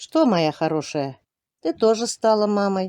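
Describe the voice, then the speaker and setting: A woman of medium pitch, dark and mellow in tone, in a dry, close sound with no echo. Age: 60s. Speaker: village smallholder, goat keeper. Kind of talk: casual vlog talk to camera.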